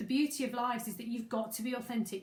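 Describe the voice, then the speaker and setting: A woman speaks over noticeable background noise. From Staffordshire, English Midlands. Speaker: business coach. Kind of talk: live masterclass webinar. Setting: livestream. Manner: casual, conversational.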